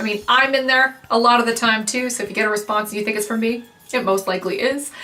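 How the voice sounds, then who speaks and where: A woman's fairly high, animated voice at a very fast pace, over noticeable background noise. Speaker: wig reviewer and business owner. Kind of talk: casual outro talk to viewers. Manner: loud.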